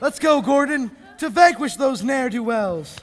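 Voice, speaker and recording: Putting on a character voice in a western US accent, a man drawls at a moderate pace with an extremely high pitch. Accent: western cowboy drawl. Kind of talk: 1930s radio serial acting. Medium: stage play. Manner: folksy drawl, earnest.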